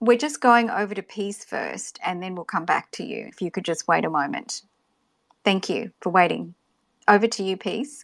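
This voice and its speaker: A woman with an Australian accent and vocal fry, at a moderate pace with big swings in loudness, in a very clean recording with a silent background and a dry, close sound with no echo. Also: medium pitch for a woman, ordinary pitch variation. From Australia, Gold Coast. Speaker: podcast host. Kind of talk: live audio room moderation.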